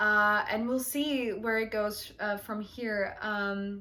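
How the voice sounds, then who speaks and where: With a non-native accent, a woman speaks at a very slow pace in a fairly high pitch with a bright, sharp tone. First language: not English. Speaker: tarot reader, channel host. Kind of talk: heartfelt thank-you monologue to viewers. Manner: hesitant, many fillers.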